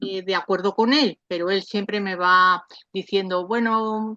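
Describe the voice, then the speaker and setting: A woman speaks at a medium pitch in a bright, sharp tone. Her intonation stays fairly even. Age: 70s. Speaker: parent of adult son with mental illness, audience participant. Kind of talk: question at online Q&A. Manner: halting.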